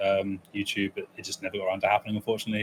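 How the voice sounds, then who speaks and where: A man speaks at a very fast pace with an English accent. His pitch is fairly low. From England, East Midlands (military family, partly raised in Germany). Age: 20s. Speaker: speedrunner. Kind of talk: casual interview chat.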